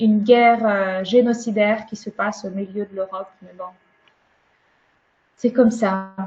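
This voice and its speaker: A woman's medium-pitched, monotone voice at a fairly slow pace, with flat intonation, big swings in loudness, and long, frequent pauses. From Ukraine. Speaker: webinar speaker sharing her experience. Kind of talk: webinar talk and discussion.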